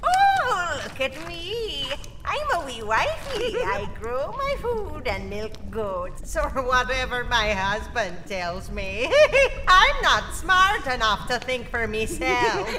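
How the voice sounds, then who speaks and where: Over loud background noise, a female-sounding put-on character voice moves at a very slow pace. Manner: mocking, fussy.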